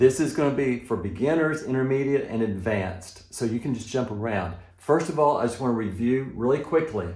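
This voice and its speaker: Audible room echo around fairly quick speech with ordinary pitch variation. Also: man. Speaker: piano teacher. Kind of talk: tutorial. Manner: encouraging.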